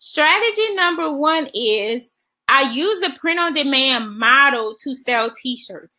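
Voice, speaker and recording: Her voice raised and projected, a woman speaks at a very slow pace in a high pitch, her tone bright and sharp, with very wide pitch swings. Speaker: online business coach. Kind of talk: webinar presentation.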